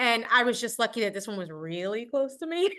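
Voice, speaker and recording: Against a quiet background, a woman speaks at a very fast pace. Her tone is bright, sharp and animated. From New York, Puerto Rican. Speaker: actress. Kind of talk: interview. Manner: loud.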